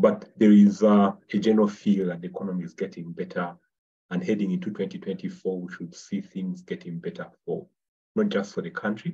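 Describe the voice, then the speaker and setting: The loudness rises and falls widely at a moderate pace. The background is quiet. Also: man. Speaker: webinar presenter. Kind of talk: webinar presentation. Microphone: webcam.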